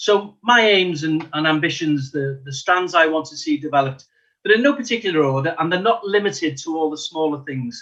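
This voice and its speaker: A man with a Liverpool accent speaks at a fairly quick pace in a fairly high pitch, his bright, sharp tone carrying ordinary pitch variation and big swings in loudness. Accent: Liverpool (Scouse). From Liverpool, England. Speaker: local election candidate, retired police detective. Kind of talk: election hustings speech.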